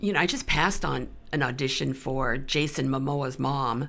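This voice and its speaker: This woman's voice has a very deep, low pitch and ordinary pitch variation. Her speech is fairly slow and marked by vocal fry. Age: 70s. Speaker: actor. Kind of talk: casual chat.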